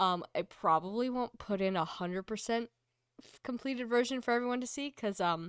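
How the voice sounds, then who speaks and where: A woman's high-pitched voice with lively intonation and big swings in loudness, dry and close with no echo. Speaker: tabletop game master. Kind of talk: game narration and casual chat. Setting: live stream.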